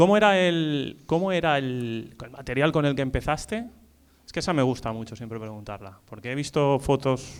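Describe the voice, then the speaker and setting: Here is a man with an unremarkable speaking voice. He talks at a moderate pace with lively intonation. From Spain, Valencia. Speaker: event moderator. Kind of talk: panel discussion.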